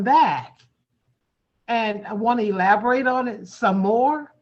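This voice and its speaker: Her voice is fairly high in pitch, with ordinary pitch variation. The woman talks at a fairly slow pace. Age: 60s. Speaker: community meeting host. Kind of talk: heated debate. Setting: video call. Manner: halting.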